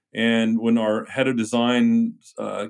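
A man with an American accent talks at a medium pitch, and his pitch varies in an ordinary way. He has an unremarkable speaking voice. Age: 50s. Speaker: car maker founder. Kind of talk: interview.

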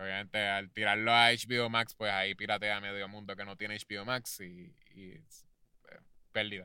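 A man speaks at a moderate pace in a fairly low pitch, his tone bright and sharp and his intonation flat and monotone, with big swings in loudness. The recording is very clean, with a silent background. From Puerto Rico. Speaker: podcast co-host. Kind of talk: casual chat.

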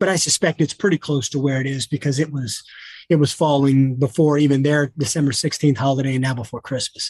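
A somewhat breathy man with a fairly high pitch, fairly even intonation, a very fast pace, and a dry, close sound with no echo. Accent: American. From US South. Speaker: attorney and COVID data analyst. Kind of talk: casual interview.

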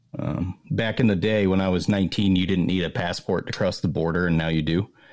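This man has a very deep, low voice and speaks at a moderate pace with fairly even intonation. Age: 30s. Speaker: podcast co-host and knife maker. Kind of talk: casual chat.

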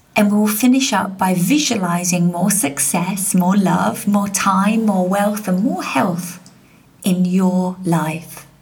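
With noticeable background noise, a woman speaks at a very slow pace in a warm, calm tone. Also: medium pitch for a woman, ordinary pitch variation. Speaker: success coach and podcast host. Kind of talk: guided meditation and prayer. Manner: calm, soothing, slow and gentle; warm, inviting, uplifting.

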